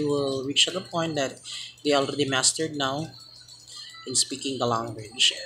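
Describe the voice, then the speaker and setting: Music plays in the background as someone speaks with a Filipino accent. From Philippines. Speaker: student. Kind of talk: class presentation. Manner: halting.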